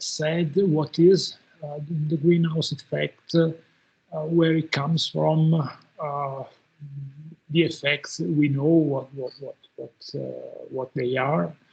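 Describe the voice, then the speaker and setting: Very slowly and with long, frequent pauses, a man speaks in a somewhat breathy, fairly high voice with monotone, flat intonation and big swings in loudness. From Italy, Udine. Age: 60s. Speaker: professor. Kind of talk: lecture. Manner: halting, many fillers and repetitions.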